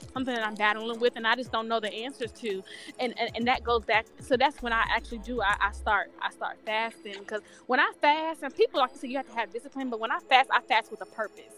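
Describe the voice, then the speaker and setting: A woman's fairly high voice at a fairly quick pace, with ordinary pitch variation, big swings in loudness and music in the background. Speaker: podcast guest. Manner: fast talker.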